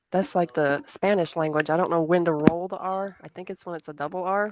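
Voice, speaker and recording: Fairly quickly and with a slight Southern US accent, a woman speaks at a fairly low pitch with fairly even intonation in a dry, close sound with no echo. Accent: slight Southern twang. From US South. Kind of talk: casual chat.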